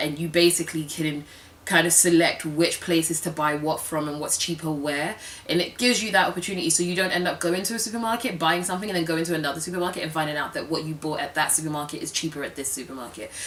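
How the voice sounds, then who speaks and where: A woman's animated, very fast delivery with a British accent and a fairly low pitch, over noticeable background noise. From London, England. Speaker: lifestyle vlogger. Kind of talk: casual vlog talk to camera.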